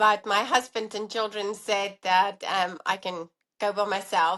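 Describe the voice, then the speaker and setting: Over a quiet background, a woman with a South African accent speaks at a medium pitch and fairly slow pace in a bright, sharp tone and a monotone, flat intonation. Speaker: allergy dietitian and professor. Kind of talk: interview conversation.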